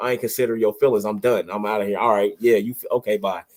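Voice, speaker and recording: A man's medium-pitched voice with ordinary pitch variation, dry and close with no echo. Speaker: podcast co-host. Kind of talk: casual chat. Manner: loud; animated.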